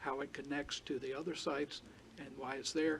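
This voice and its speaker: A man with an American accent, fairly high pitch and a fairly quick pace. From South Carolina (Charleston County). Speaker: telecom tower applicant representative. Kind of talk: public hearing presentation. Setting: county board meeting room.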